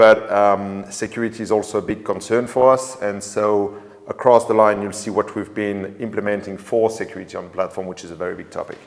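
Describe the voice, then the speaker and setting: This man speaks with a French accent at a fairly quick pace. His pitch sits fairly low. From France. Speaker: drone company sales manager. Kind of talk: webinar interview. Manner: halting.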